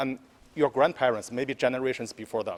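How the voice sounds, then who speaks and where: The speaker has a Chinese accent. The intonation is fairly even and the pace moderate. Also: man. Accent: Mandarin Chinese accent in English. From mainland China. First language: Mandarin. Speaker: newly elected city councillor. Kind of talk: press scrum answer.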